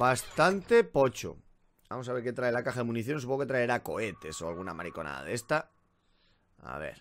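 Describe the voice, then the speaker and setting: With vocal fry and very wide pitch swings, a man speaks at a fairly quick pace, leaving long, frequent pauses over light background noise. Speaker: gaming youtuber. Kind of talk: let's play commentary; casual gameplay commentary. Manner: casual, filler-heavy. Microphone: current mic, new Blue Yeti coming.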